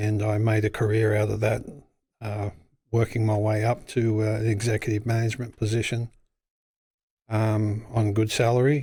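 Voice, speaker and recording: With an Australian accent, a man speaks at a moderate pace in a somewhat breathy, dark and mellow voice of fairly low pitch, monotone and flat in intonation, with long, frequent pauses in a very clean recording with a silent background. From Australia, Western Sydney. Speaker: business owner. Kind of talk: casual interview.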